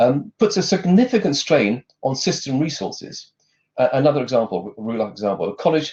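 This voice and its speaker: A man speaks at a fairly quick pace, his voice somewhat breathy and fairly high in pitch. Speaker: conference speaker on further education data. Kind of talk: lightning talk presentation. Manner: fast; hesitant with fillers.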